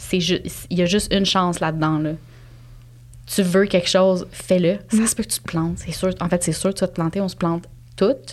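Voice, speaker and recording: A woman with a plain, everyday voice talks at a fairly quick pace, her fairly low pitch staying in a fairly even line. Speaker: cat behaviour specialist and entrepreneur. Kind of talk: casual interview conversation.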